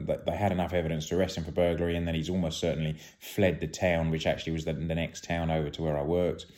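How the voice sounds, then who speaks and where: With a British accent, a man speaks very deep and low in a dark, mellow tone with monotone, flat intonation. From UK. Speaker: retired police officer. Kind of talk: storytelling. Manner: halting.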